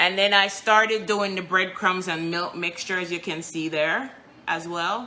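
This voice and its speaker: A woman with a Jamaican accent speaks at a fairly slow pace and a fairly low pitch. Her intonation is fairly even, and audible room echo surrounds her. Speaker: home baker and cook. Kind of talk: live cooking stream. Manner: casual, chatty.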